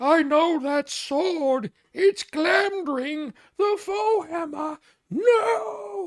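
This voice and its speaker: In a put-on character voice, the speaker talks with a high pitch at a very slow pace. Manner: menacing, shouting.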